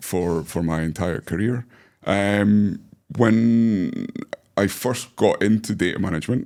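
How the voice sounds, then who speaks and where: A man's fairly low voice with a British accent, dark and mellow in tone, at a fairly slow pace with ordinary pitch variation. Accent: UK accent, noticeable. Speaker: data management executive. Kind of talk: podcast interview. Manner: hesitant with many fillers.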